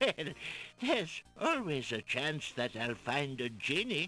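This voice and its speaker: A put-on character voice swings very widely in pitch at a fairly slow pace. Clear music plays in the background. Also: man, fairly high pitch for a man. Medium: video game.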